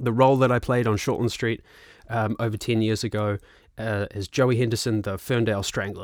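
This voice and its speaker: A man with a New Zealand accent speaks at a fairly quick pace in a relaxed tone, his medium pitch held to fairly even intonation, on a very clean recording with a silent background and a dry, close sound with no echo. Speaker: filmmaker and musician. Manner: relaxed, casual, filler-heavy.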